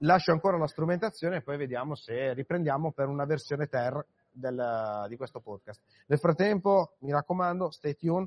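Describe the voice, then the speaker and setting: A man with an unremarkable speaking voice talks at a moderate pace. His pitch is fairly high with ordinary variation. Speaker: podcast host. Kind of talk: live event interviews. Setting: conference floor.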